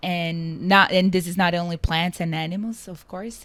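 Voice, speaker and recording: A woman with a Portuguese accent, fairly low in pitch, at a moderate pace. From Brazil. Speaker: climate tech founder and CEO. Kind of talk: interview.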